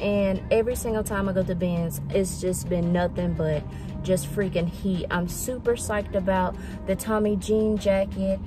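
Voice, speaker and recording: A woman at a moderate pace, dry sound with no echo, and clear music in the background. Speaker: thrift vlogger, reseller. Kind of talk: casual vlog chat. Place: car. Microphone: phone near.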